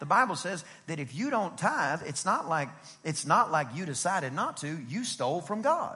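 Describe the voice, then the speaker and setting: A man talks in a bright, sharp tone, high for a man. His pitch swings very widely. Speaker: pastor. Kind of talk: sermon. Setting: church service with congregation. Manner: fast; animated.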